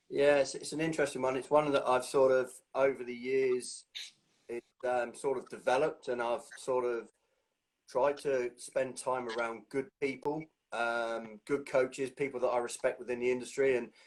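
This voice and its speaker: Speaking at a moderate pace with an English accent, a man keeps a medium pitch and a flat, monotone intonation. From England. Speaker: strength and conditioning coach. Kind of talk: interview.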